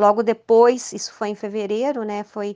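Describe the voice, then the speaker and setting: A woman's fairly high voice, monotone and flat, at a fairly slow pace. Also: quiet background. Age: 50s. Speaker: ultramarathon runner and cancer survivor. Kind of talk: interview testimony. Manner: halting, with many hesitations.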